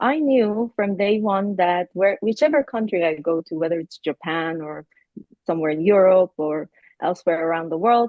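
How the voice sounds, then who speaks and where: At a moderate pace, a woman speaks with a medium pitch and lively intonation. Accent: Iranian. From Iran. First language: Persian. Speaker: university professor, keynote speaker. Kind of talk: interview.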